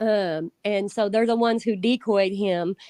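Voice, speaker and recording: A woman speaks in a monotone, flat intonation. The sound is dry and close with no echo, over a quiet background. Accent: Southern. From Indiana. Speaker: predator catcher. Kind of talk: casual chat.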